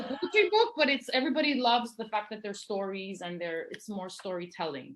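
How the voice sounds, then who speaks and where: A woman with a Greek accent speaks at a fairly high pitch and a fairly quick pace. Her pitch swings very widely and her loudness shifts a lot. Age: 50s. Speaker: poet and novelist. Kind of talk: casual interview. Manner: fast.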